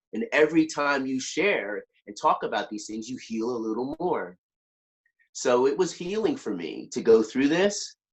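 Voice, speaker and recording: A man with a fairly high pitch and an animated tone, very wide pitch swings, big swings in loudness and a moderate pace. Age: 60s. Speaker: motivational speaker and author. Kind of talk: podcast interview.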